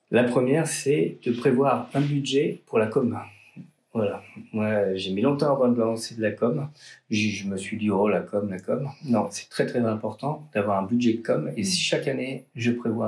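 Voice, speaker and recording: The speaker takes a fairly slow pace and uses ordinary pitch variation. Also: man. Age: 40s. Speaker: artisan chocolatier and roaster. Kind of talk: interview. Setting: in his shop workshop. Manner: hesitant with fillers and repetitions.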